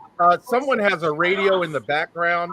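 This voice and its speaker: A man speaks loudly at a high pitch. His pace is fairly quick, with noticeable background noise around him. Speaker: photography association host. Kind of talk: live online panel chat.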